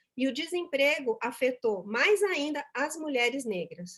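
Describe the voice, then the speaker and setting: A woman's high-pitched voice at a fairly slow pace, full of very wide pitch swings. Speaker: speaker at a corporate volunteering event. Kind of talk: conference talk.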